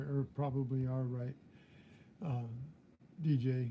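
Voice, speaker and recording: A somewhat breathy man with a fairly high pitch and a dark, mellow tone, at a fairly slow pace. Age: 70s. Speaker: metal detecting youtuber. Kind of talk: live stream chat. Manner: halting.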